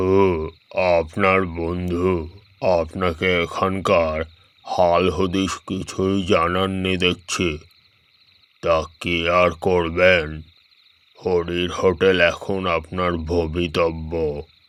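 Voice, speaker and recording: In a put-on character voice, a man speaks at a very slow pace with a very deep, low pitch and monotone, flat intonation. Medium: read story. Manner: drowsy, cryptic, unhurried.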